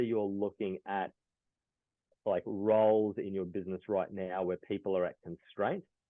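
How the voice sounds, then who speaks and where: A man with an unremarkable speaking voice, fairly low in pitch, at a moderate pace. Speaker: business executive and speaker. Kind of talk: business presentation.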